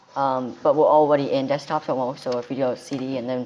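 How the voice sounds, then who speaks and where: Quiet speech at a fairly quick pace. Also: woman. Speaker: tech tutorial youtuber. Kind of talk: tutorial. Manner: quiet, held-down voice; hesitant, many ums and restarts.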